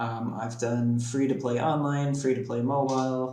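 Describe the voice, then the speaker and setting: With an American accent, a man speaks at a fairly slow pace in monotone, flat intonation, with noticeable background noise and audible room echo. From United States. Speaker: game developer, event organiser. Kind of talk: interview.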